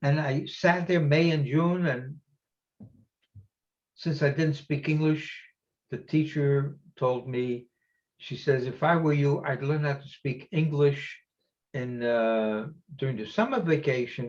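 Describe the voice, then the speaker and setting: Somewhat breathy and fairly high-pitched, a man speaks at a fairly slow pace with ordinary pitch variation and long, frequent pauses. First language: Yiddish. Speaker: Holocaust survivor speaker. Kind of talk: testimony. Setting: virtual event. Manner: halting.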